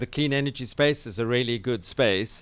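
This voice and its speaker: On a very clean recording with a silent background, a man with a South African accent speaks at medium pitch with ordinary pitch variation. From South Africa (Cape Town). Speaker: radio talk show host, tech entrepreneur. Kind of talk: interview talk show. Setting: radio studio in a hotel.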